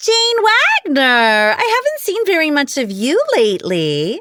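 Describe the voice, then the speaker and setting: A female-sounding put-on character voice, high in pitch, at a fairly slow pace. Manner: fake friendly.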